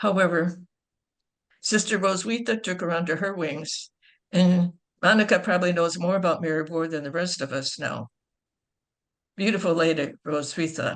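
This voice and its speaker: A woman's fairly low voice with a Chicago accent, at a moderate pace with long, frequent pauses. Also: ordinary pitch variation. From Chicago, US. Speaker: nun introducing speakers. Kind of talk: speaker introductions. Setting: video call.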